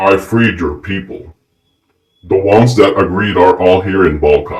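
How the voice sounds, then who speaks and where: A man uses a put-on character voice at a fairly low pitch and moderate pace. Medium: read story.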